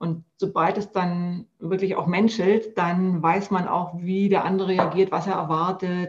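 With hardly any pauses, a woman speaks at a fairly slow pace in a monotone, flat intonation. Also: medium pitch for a woman. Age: 40s. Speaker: health coach. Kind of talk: casual chat.

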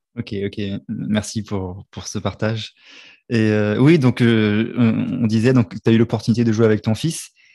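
This man has a dark, mellow tone at medium pitch, speaking at a fairly slow pace with fairly even intonation. The recording is very clean and the background silent. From Réunion. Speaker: podcast host. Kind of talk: casual interview. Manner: halting, repeats words.

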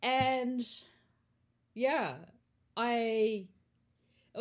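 A woman with a New Zealand accent is heard on a very clean recording with a silent background. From Australia. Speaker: barista champion. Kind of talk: casual chat.

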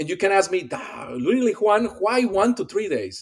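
A man speaks at a high pitch with a Spanish accent. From Colombia. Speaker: pediatric dentist and radiology expert. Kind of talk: casual interview chat.

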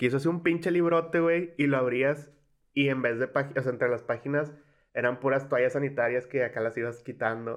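An ordinary speaking voice at a fairly quick pace, its loudness very even throughout. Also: man, fairly high pitch for a man, fairly even intonation. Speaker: podcast co-host. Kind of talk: casual chat.

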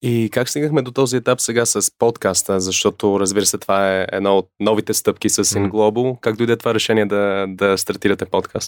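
A man with an English accent speaks with fairly even intonation and hardly any pauses, the sound dry and close with no echo on a very clean recording with a silent background. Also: fairly low pitch for a man. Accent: English accent in Bulgarian. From North America (USA and Canada). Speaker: documentary filmmaker and co-host. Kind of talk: casual conversation. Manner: halting, many fillers.

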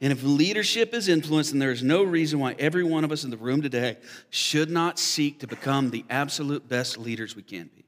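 On a very clean recording with a silent background, a man with a plain, everyday voice talks at a fairly quick pace and fairly high pitch, with lively intonation and big swings in loudness. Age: 40s. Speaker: pastor. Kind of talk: sermon. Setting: church.

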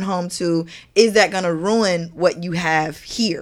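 Over noticeable background noise, a woman speaks in a medium pitch with an animated tone. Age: 30s. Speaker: podcast host. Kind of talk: casual chat.

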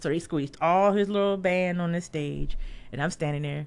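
Using a normal speaking voice with an American accent, a woman with a fairly low pitch and ordinary pitch variation speaks at a fairly quick pace. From Washington, D.C. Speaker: concert photographer. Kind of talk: casual chat. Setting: studio.

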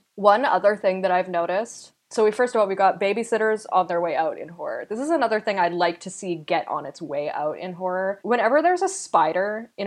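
A woman with a Canadian accent talks at a fairly quick pace with hardly any pauses, in a plain, everyday voice with lively intonation and big swings in loudness, over a quiet background. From Canada. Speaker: podcast host. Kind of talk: casual chat.

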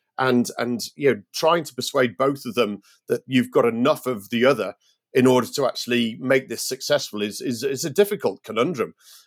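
A man with a British accent, at a fairly quick pace, with lively intonation. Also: medium pitch for a man, very clean recording, silent background. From Britain. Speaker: startup founder and CEO. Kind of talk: podcast interview. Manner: halting, many fillers.

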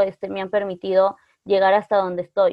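An ordinary speaking voice at a moderate pace. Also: woman. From northern Peru, Otuzco. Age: 20s. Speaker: psychology student. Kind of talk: casual chat.

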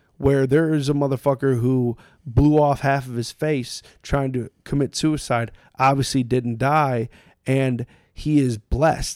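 An ordinary speaking voice comes through at a fairly slow pace with fairly even intonation, in a dry, close sound with no echo and a very clean recording with a silent background. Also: man. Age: 30s. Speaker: podcast guest, influencer. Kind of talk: casual chat. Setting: in person, recording at guest's place.

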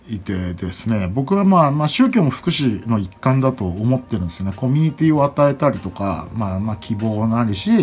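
At a moderate pace, a man of medium pitch speaks with lively intonation. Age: 30s. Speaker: podcast host and event MC. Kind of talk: solo casual monologue. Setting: at home. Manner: halting, many fillers.

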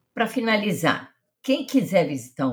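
A woman speaks with lively intonation. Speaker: podcast host. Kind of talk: interview.

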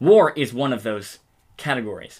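A man with an American accent at a moderate pace, in a very clean recording with a silent background. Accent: American, with some British-sounding words. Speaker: podcast co-host. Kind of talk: casual chat.

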